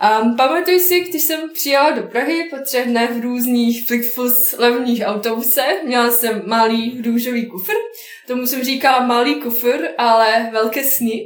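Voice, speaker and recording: Against noticeable background noise and audible room echo, a woman with a Bosnian accent speaks fairly slowly at a high pitch. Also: ordinary pitch variation. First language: Bosnian (speaking Czech). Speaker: software developer. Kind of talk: interview.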